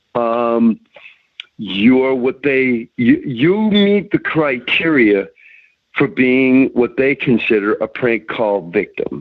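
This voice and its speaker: Very slowly, a man with an American accent talks at a medium pitch. His voice moves through very wide pitch swings. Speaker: prank call victim giving advice. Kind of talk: phone conversation.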